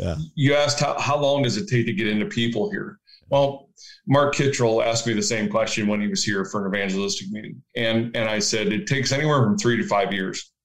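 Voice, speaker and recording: With a plain, everyday voice, a man at medium pitch talks fairly quickly in an American accent with lively intonation. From rural Ohio, US Midwest. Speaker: rural pastor. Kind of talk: casual interview.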